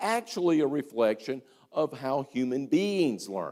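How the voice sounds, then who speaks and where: A man talks at a moderate pace with an American accent. His pitch swings very widely. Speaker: history teacher giving a lecture. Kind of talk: lecture. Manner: animated, enthusiastic; conversational with many fillers and repetitions.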